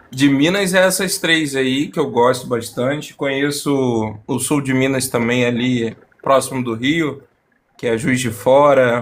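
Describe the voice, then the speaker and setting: At a fairly slow pace, a man talks in an ordinary speaking voice at medium pitch with ordinary pitch variation. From Rio de Janeiro. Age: 20s. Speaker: debate participant. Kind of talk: casual chat.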